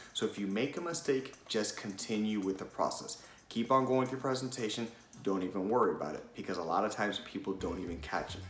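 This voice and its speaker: A man's medium-pitched voice at a very fast pace with lively intonation, plus audible room echo and noticeable background noise. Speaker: presentation skills coach. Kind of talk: tutorial.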